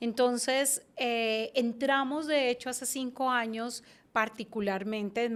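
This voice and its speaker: The speech moves at a very slow pace. It comes with a Bogotá accent. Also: woman, very clean recording, silent background. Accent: Bogotá Colombian Spanish. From Colombia, Bogotá. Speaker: branding and communication consultant. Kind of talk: interview.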